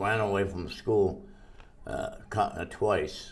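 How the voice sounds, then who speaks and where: A very slow man with an American accent, fairly low in pitch, amid audible room echo. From Massachusetts, US. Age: 100s. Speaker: centenarian interviewee. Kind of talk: life-story interview. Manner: halting.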